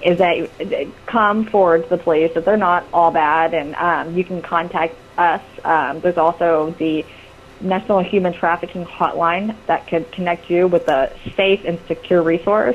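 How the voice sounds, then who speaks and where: Noticeable background noise sits behind a woman whose loudness stays very even. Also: fairly low pitch for a woman. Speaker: volunteer missing-persons searcher. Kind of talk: radio interview. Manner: fast; hesitant, many fillers.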